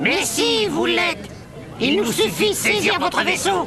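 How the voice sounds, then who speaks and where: A man's cartoonish character voice at a moderate pace, with clear background noise. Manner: smug, officious.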